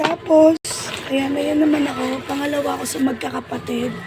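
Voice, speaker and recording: Moderate pace with crowd noise in the background. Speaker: vlogger. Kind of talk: casual vlog.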